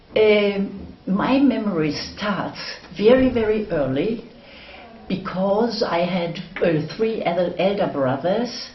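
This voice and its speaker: Amid noticeable background noise and audible room echo, a woman with a medium pitch speaks at a very slow pace with lively intonation. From northwest Germany. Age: 80s+. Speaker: war-era eyewitness. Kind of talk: oral history interview. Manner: halting.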